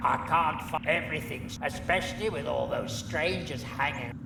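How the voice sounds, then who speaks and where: A man's put-on character voice at a moderate pace, over loud background noise. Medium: machinima.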